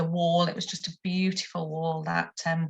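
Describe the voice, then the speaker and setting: With music in the background, a woman speaks at a moderate pace in a fairly low pitch and a monotone, flat intonation. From northern England, Stoke-on-Trent. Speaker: textile artist and teacher. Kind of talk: presentation talk with slides. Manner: hesitant, many ums.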